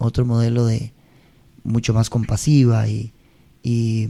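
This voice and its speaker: A man's medium-pitched voice with a dark, mellow tone and a Costa Rican accent. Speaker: singer. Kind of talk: interview answer.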